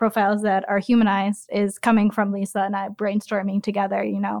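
A plain, everyday voice from a woman, fairly high in pitch, at a moderate pace, with a dry, close sound with no echo and a quiet background. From US Midwest, Chicago southwest suburbs. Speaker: flavorist. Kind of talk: interview.

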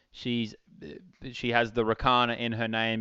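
Talking at a fairly slow pace, a man with an Australian accent has a fairly low pitch. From Australia, outback Queensland. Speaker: event rider and riding clinician. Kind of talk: interview.

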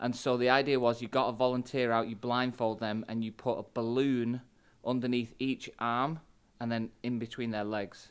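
Recorded very cleanly against a silent background, a man with a Mancunian accent speaks at a medium pitch in monotone, flat intonation. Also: moderate pace. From England, Manchester. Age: 40s. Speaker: pastor. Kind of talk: podcast interview.

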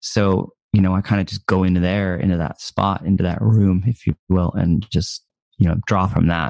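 A man with an American accent, very deep, low pitch and dark, mellow tone, at a moderate pace with fairly even intonation, in a dry, close sound with no echo. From US. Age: 30s. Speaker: musician. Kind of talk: casual chat. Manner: halting.

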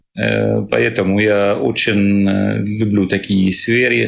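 A man speaks with an Arabic accent. His pace is very slow. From Syria. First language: Arabic (speaking Russian). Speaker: refugee, cook. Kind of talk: interview. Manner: halting.

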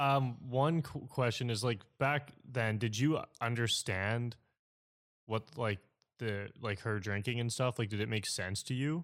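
Recorded very cleanly with a silent background, a man with a normal speaking voice talks at a medium pitch and a fairly slow pace. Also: ordinary pitch variation. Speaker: podcast host. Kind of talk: casual interview chat.

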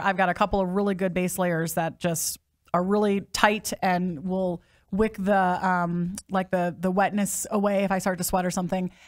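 Her tone fairly level and her pitch mid-range, a woman with an American accent talks at a moderate speed. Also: very clean recording, silent background. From US Midwest. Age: 40s. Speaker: podcast host. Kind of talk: casual interview.

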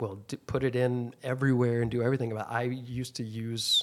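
A man's ordinary speaking voice at medium pitch, delivered at a fairly quick pace. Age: 50s. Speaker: aesthetic injector and clinic owner. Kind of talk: casual chat.

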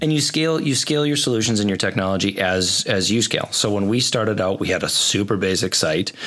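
Over noticeable background noise, a man rattles along at a very fast pace with lively intonation. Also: fairly low pitch for a man, very even loudness. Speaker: co-host, podcast engineer. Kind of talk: casual chat. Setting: studio. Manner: soft-spoken.

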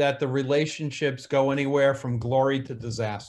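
A man speaks with a New Jersey accent. His pitch sits fairly high for a man, on a very clean recording with a silent background. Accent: New Jersey American. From New Jersey, US. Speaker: cybersecurity consultant. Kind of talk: casual interview conversation.

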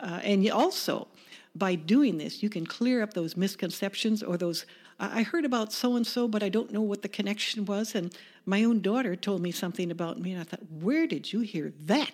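In a normal speaking voice, a woman with an American accent talks at a medium pitch and a fairly quick pace, with ordinary pitch variation. The recording is very clean, with a silent background. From US Midwest, Chicago suburbs. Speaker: small business owner. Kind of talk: interview.

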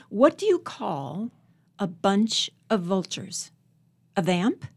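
An American-accented woman sounds somewhat breathy, her pitch swinging very widely. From Northern Virginia, US. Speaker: poet. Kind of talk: interview about her life and poetry.

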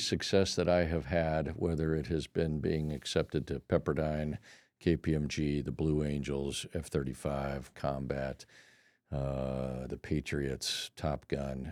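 Speaking very slowly, a man uses a dark, mellow tone with an American accent. The recording is very clean, with a silent background. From California, El Cajon. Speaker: pilot and navy veteran. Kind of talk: interview chat.

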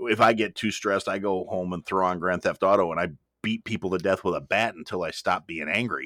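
A man's very deep, low voice at a fairly quick pace. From US Midwest. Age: 40s. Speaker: podcast host. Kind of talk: casual chat.

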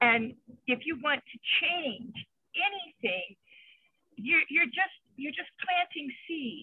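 A woman speaks very slowly in a high voice, with long pauses coming often. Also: lively intonation, big swings in loudness. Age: 60s. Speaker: retired volunteer math tutor. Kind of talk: casual group discussion. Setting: in a car.

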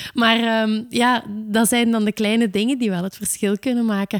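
A woman speaks with an ordinary speaking voice, fairly high in pitch, at a moderate pace. The recording is very clean with a silent background and a dry, close sound without echo. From south of Belgian Limburg. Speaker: podcast host. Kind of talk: interview.

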